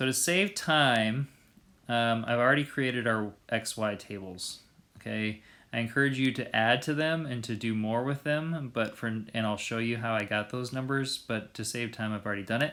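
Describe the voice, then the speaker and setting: A man's medium-pitched voice with a bright, sharp tone, ordinary pitch variation and a moderate pace, on a very clean recording with a silent background. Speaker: math teacher. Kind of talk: video lesson. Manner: casual with fillers.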